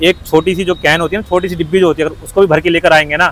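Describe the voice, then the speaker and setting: A high-pitched man with monotone, flat intonation. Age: young. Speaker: roadside video interviewer. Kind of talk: street interview. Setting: outdoors on the road.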